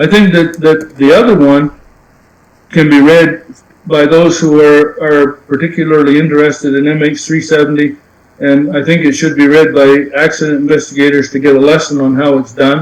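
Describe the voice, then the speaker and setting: At a moderate pace, a man speaks with a fairly high pitch and monotone, flat intonation. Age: 70s. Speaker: aircraft accident investigator and author. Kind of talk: podcast interview. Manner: halting, frequent repetitions.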